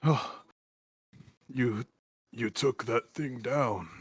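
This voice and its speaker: Putting on a character voice, a man sounds raspy at a medium pitch with ordinary pitch variation. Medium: actual play.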